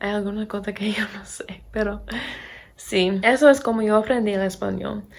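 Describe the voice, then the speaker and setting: A woman with an American accent speaks at a moderate pace and medium pitch, with fairly even intonation, big swings in loudness and noticeable background noise. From Pennsylvania, US. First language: English (speaking Spanish). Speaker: English teacher and vlogger. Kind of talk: casual vlog talk.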